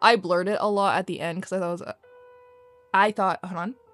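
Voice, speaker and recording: Music runs behind the recording. The woman's voice sits in a middle range. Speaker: artist chatting over speedpaint. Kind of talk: casual chat. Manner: rambling, fast.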